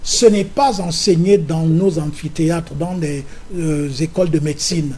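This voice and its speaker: A man talks at a fairly slow pace in a high pitch with ordinary pitch variation. Noticeable background noise runs under his voice. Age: 70s. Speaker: opposition politician. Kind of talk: political interview.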